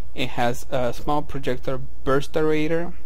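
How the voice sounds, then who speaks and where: A strong non-native accent over noticeable background noise. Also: man. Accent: heavy foreign. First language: non-native English speaker. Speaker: video game player. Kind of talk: game tutorial narration.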